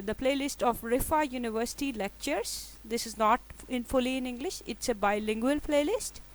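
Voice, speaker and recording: A woman's high voice with a Pakistani accent and lively intonation, on a very clean recording with a silent background. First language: Urdu. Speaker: statistics lecturer. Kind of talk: lecture. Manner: halting, many fillers.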